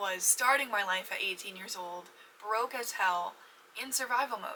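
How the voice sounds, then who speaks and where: A woman at a medium pitch with ordinary pitch variation, plus noticeable background noise. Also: moderate pace. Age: 20s. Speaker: podcast host. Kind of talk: casual chat. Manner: halting.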